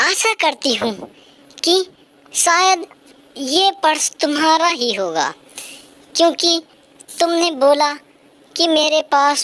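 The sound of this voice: This is a cartoonish character voice that sounds female, pitched high. It moves at a very slow pace.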